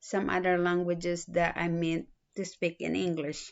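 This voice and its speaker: With a strong Filipino accent, a woman talks in a fairly low pitch using monotone, flat intonation. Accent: thick Filipino. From Philippines. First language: a Philippine language. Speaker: student. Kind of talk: self-introduction video. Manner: halting, with fillers.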